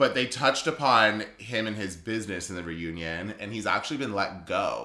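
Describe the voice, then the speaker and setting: A man's fairly low, bright, sharp voice at a moderate pace, with ordinary pitch variation and big swings in loudness. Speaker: podcast host. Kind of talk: casual chat over wine. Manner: bantering, interrupts often.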